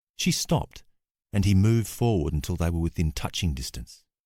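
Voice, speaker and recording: A man with an Australian accent talks at a moderate pace, with lively intonation and a very deep, low pitch. The recording is very clean with a silent background, and the sound is dry and close with no echo. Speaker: actor. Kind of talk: audiobook narration.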